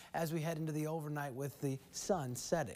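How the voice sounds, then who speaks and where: The man speaks at a fairly quick pace. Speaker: TV meteorologist. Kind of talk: evening TV weather report, walking viewers through temperatures, fronts and maps. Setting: TV studio. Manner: upbeat, conversational and folksy, with casual asides; brisk, flowing delivery, pointing at on-screen graphics. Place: studio. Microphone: lapel.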